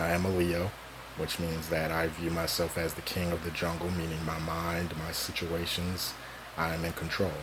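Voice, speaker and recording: Speaking at a moderate pace, a man has a very deep, low pitch and monotone, flat intonation. Audible room echo and noticeable background noise surround him. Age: 20s. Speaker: vlogger. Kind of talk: personal monologue. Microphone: cheap recording equipment.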